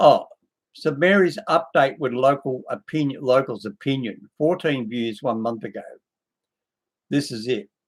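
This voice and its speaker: A man speaks at a fairly slow pace with ordinary pitch variation and long, frequent pauses. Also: fairly high pitch for a man. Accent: Australian. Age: 60s. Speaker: video blogger. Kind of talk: casual video commentary. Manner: rambling, slightly halting speech.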